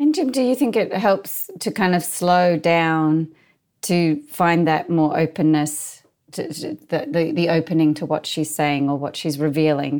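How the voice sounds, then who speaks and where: A woman with an ordinary speaking voice, fairly low pitch, ordinary pitch variation and a fairly slow pace, on a very clean recording with a silent background. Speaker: podcast co-host interviewer. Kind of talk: contemplative dialogue.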